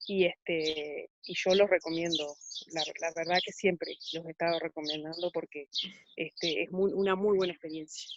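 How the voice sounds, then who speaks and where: With a Uruguayan accent, the speaker moves at a moderate pace with fairly even intonation in a dry, close sound with no echo. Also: woman, fairly low pitch for a woman. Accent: Uruguayan Spanish (rioplatense). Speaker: ecotourism project participant. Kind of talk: panel discussion. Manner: halting, many fillers.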